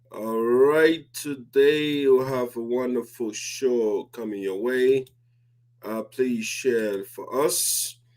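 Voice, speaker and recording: The voice moves at a very slow pace with fairly even intonation and big swings in loudness, over noticeable background noise. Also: man, medium pitch for a man. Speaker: online talk show host. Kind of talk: live talk show monologue. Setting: live stream.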